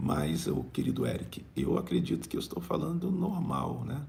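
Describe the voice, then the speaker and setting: Fairly slow speech from a man, with audible room echo. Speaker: bishop and preacher. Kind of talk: live-streamed prayer meeting and preaching with chat reading. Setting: live stream.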